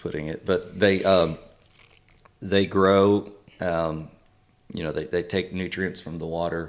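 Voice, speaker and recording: A man with a Texan accent and a very deep, low voice, fairly slow and monotone with flat intonation and long, frequent pauses. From Texas, Wharton County. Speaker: conservation advocacy director. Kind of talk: casual interview. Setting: sit-down after day on the water.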